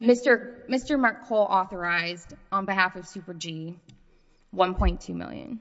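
An ordinary speaking voice at a fairly slow pace, with ordinary pitch variation and big swings in loudness. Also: woman, medium pitch for a woman. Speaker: appellate lawyer. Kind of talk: oral argument. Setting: courtroom.

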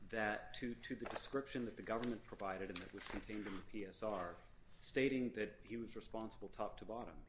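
A man speaks at a moderate pace in a fairly low pitch, with noticeable background noise behind him. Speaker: government prosecutor. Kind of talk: appellate oral argument. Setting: courtroom. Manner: formal.

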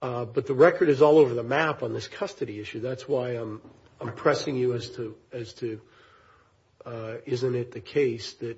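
Somewhat breathy man's voice, medium pitch, moderate pace. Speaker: appellate judge. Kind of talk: judicial questioning. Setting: courtroom.

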